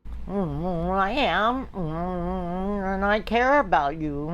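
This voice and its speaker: A put-on character voice at middle pitch and very slow pace, amid clear background noise. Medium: stage play. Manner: meek, apologetic.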